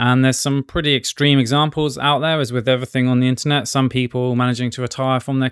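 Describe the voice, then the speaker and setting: At a very fast pace, a man speaks with a medium pitch and fairly even intonation. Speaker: doctor and podcast host. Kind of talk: podcast monologue on personal finance.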